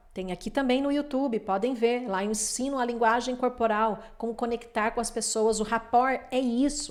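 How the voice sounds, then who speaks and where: In a normal speaking voice, a woman talks at a moderate pace and a fairly high pitch, in a very clean recording with a silent background. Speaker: lawyer and relationship coach. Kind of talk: lecture.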